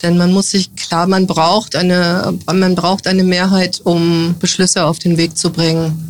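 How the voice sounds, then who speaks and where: A woman talks at a fairly slow pace with hardly any pauses. Her intonation is monotone and flat, and her loudness stays very even. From northern Hesse, Germany. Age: 50s. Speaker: politician. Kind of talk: interview.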